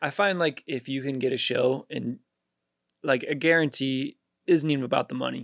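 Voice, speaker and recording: Recorded with a dry, close sound and no echo, a man in an unremarkable speaking voice talks at a moderate pace with a fairly high pitch and ordinary pitch variation. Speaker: rapper. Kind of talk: casual chat.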